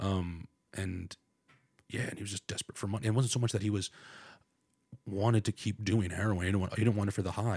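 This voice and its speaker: A man with a fairly low, somewhat breathy voice speaks at a very fast pace in a monotone, flat way, broken by long, frequent pauses, the sound dry and close with no echo. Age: 30s. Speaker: comedian. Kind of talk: casual chat.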